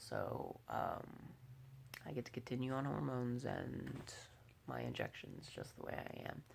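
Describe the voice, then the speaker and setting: A man talks fairly slowly, and his voice carries audible room echo. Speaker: transgender vlogger. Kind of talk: casual video diary. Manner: hesitant, many fillers.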